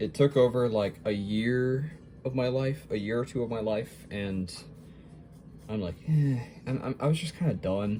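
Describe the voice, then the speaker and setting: At a fairly slow pace, a man with medium pitch speaks in a dark, mellow tone that is somewhat breathy. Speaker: hobby artist vlogger. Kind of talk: casual chat while drawing. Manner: hesitant, many fillers.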